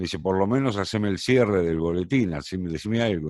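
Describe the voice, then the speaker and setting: A man talks at a very fast pace in a very deep, low voice with ordinary pitch variation. The recording is very clean, with a silent background. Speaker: radio and TV announcer, tango singer. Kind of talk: casual interview answer, anecdotes.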